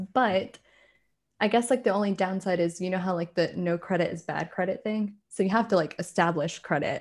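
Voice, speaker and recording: A woman with an American accent uses an ordinary speaking voice at a medium pitch. Her fairly quick speech has ordinary pitch variation. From rural South Carolina, US South. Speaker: American expat. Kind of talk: casual chat.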